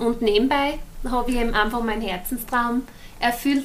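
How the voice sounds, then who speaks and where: The pace runs fairly quick. Intonation holds fairly even throughout. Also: woman. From Austria, Styria (partly Denmark). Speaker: yoga teacher and natural scientist. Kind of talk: interview conversation. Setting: hotel room, indoors.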